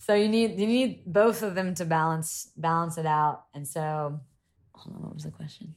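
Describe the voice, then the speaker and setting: A woman with a Southern US accent talks at a fairly low pitch with ordinary pitch variation. Her loudness swings widely. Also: moderate pace. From US South, Columbia, South Carolina. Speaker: yacht crew member and reality TV personality. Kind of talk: casual chat. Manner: animated.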